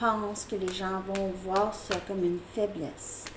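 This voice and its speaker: Amid noticeable background noise, a woman speaks at a very slow pace with a medium pitch. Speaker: tarot reader. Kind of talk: tarot reading. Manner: casual, hesitant with fillers.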